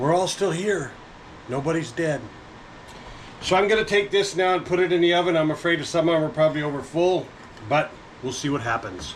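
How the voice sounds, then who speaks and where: A high-pitched man at a fairly quick pace with long, frequent pauses, ordinary pitch variation and noticeable background noise. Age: old. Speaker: home baking vlogger. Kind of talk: casual cooking vlog narration.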